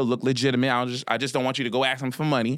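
A man's very fast, medium-pitched voice in an American accent, very cleanly recorded against a silent background. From Philadelphia, US. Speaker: financial literacy coach. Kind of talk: casual interview.

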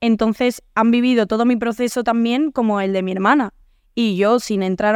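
At a fairly slow pace, a woman speaks with a fairly high pitch and fairly even intonation. The recording is very clean with a silent background and a dry, close sound with no echo. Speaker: singer. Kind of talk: casual chat.

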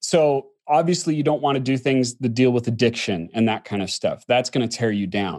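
A man with an ordinary speaking voice and an American accent, medium in pitch, with lively intonation, at a moderate pace with hardly any pauses. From Utah. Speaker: author and productivity speaker. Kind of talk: interview.

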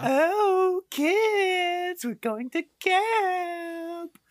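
A loud, put-on character voice at an extremely high pitch. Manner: loud and grating.

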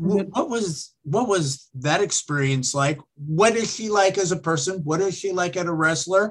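The speaker is a man with high pitch. He talks at a moderate pace. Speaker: podcast host. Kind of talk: casual chat. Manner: loud.

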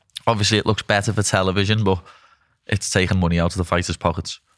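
Speaking at a very fast pace with a northern English accent, a man with a very deep, low pitch comes through on a very clean recording with a silent background. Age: 20s. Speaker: podcast host and fighter. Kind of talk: casual interview.

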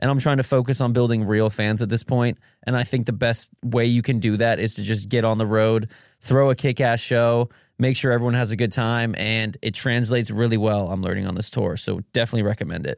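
On a very clean recording with a silent background, a man with an unremarkable speaking voice talks at a fairly quick pace and medium pitch. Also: fairly even intonation. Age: 20s. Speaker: musician. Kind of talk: casual chat.

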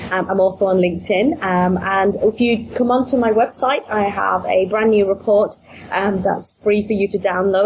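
Against noticeable background noise, a woman with a British accent speaks fairly quickly at a medium pitch with fairly even intonation. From UK. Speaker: business coach. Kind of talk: interview, business podcast.

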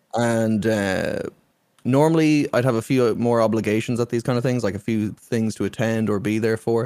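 A man's dark, mellow voice with an Irish accent, medium pitch, fairly even intonation, very even loudness and a moderate pace. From Ireland. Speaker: streamer. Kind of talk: casual chat.

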